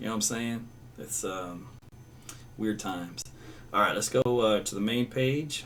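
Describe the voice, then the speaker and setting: This man has a slight Southern accent and a medium pitch. Audible room echo surrounds his voice. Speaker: meteorologist. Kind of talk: live weather broadcast with chat reading. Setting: live stream. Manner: casual, conversational.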